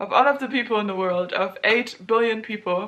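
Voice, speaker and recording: A woman speaks with a German accent. Her pitch is fairly high and her intonation fairly even. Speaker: student vlogger. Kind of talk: casual vlog monologue.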